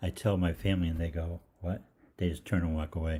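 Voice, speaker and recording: A man's very deep, low voice, dark and mellow in tone, somewhat breathy, at a very fast pace. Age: 60s. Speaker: holistic practitioner hosting live Q&A. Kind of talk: casual storytelling on livestream. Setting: live online show. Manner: halting, many fillers.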